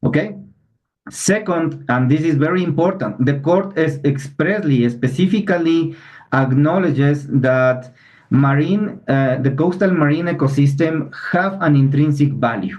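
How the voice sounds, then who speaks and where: A man with a non-native accent speaks at a fairly slow pace in a fairly high, somewhat breathy voice with ordinary pitch variation. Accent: non-native English, clear. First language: Spanish. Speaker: environmental lawyer. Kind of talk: webinar presentation. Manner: halting, many fillers and restarts.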